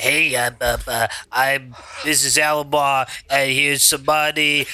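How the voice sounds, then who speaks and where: Using a put-on character voice, a man speaks very slowly at a fairly high pitch with monotone, flat intonation. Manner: wacky, eccentric.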